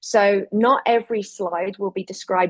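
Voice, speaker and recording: A woman with a strong English accent and ordinary pitch variation. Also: dry, close sound with no echo. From England, rural Lincolnshire. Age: 40s. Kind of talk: webinar presentation. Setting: virtual webinar. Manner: hesitant fillers.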